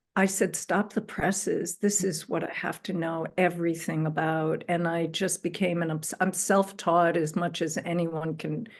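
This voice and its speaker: Speaking at a moderate pace, a woman uses a fairly low pitch with monotone, flat intonation. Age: 60s. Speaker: spiritual astrologer. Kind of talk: interview, personal story.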